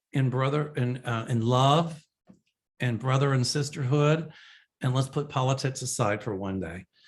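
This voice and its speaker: Speaking at a fairly slow pace with fairly even intonation, a man of medium pitch has a somewhat breathy voice and a Kentucky accent on a very clean recording with a silent background. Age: 60s. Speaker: psychic medium. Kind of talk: answering viewer questions. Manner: casual, chatty.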